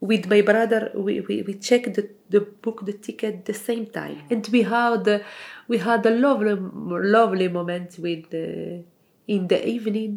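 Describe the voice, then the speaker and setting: A woman speaks at a medium pitch. Her pace is fairly slow and her intonation fairly even. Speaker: home cook, community project member. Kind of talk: casual chat. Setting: at home over a meal. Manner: halting.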